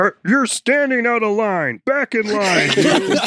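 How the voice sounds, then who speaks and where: In a put-on character voice, a man projects loudly at a high pitch and a fairly slow pace. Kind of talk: actual play. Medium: actual play. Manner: curt, commanding.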